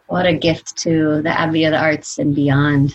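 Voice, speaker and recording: A woman's very deep, low voice in a flat monotone. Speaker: podcast interviewer. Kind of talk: interview.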